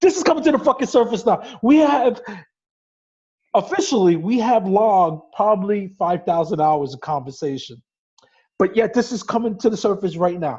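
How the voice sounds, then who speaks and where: With a Brooklyn accent, a man talks at a high pitch and a moderate pace, his pitch swinging very widely. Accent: New York (Brooklyn). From New York City, Brooklyn. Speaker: podcast co-host. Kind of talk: casual chat. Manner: teasing, interrupting.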